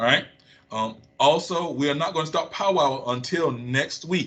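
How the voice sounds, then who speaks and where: This is a man's voice. It has a bright, sharp tone. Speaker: school administrator. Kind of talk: school announcement. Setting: recorded video message. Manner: fast.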